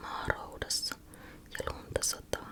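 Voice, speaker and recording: A woman whispers at a very slow pace in a calm tone. There is noticeable background noise. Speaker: ASMR creator. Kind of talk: whispered bedtime story reading. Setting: studio microphone close up. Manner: whispered, soft, calm.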